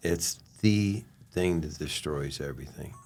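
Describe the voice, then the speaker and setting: Using an American accent, a man with a very deep, low pitch speaks with lively intonation. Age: 70s. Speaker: former pro baseball player. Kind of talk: podcast interview. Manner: casual, relaxed.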